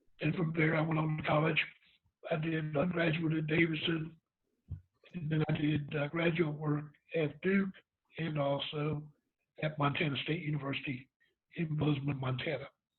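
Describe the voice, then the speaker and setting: With an American accent, a man speaks at a fairly high pitch in a monotone, flat intonation, leaving long, frequent pauses. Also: moderate pace. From North Carolina, Goldsboro. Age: 60s. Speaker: retired chemistry professor. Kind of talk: interview.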